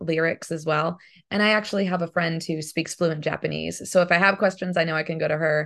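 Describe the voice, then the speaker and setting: Against a quiet background, the speech moves at a fairly quick pace with flat, monotone intonation. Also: woman. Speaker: voice actress and singer. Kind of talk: casual interview.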